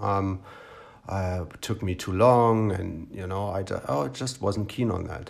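A man speaks in a somewhat breathy voice with a German accent. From East Germany, Brandenburg. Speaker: podcaster. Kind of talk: personal storytelling monologue. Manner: conversational with frequent fillers.

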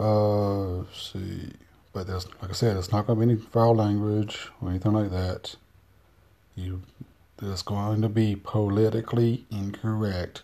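In a North Carolina accent, a man speaks fairly slowly at a fairly low pitch with monotone, flat intonation. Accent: Southern US, North Carolina. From US South, North Carolina. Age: 40s. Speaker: personal vlogger. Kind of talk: casual monologue, personal video diary.

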